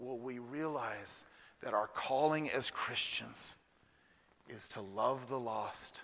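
Speaking very slowly with an Alabama accent, a man of medium pitch has a bright, sharp tone and ordinary pitch variation. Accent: Southern US (Alabama). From US South, Huntsville, Alabama. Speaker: visiting pastor. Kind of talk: sermon. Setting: church.

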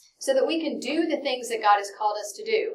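An animated tone with very wide pitch swings, in a slight Texan accent. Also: woman. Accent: slight Texan, hardly noticeable. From Texas (Dallas). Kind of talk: Bible study lesson. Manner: fast.

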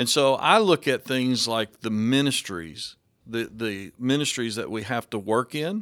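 On a very clean recording with a silent background, a man talks at a fairly slow pace. His pitch is medium, with ordinary variation. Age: 50s. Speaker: pastor. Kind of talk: casual chat.

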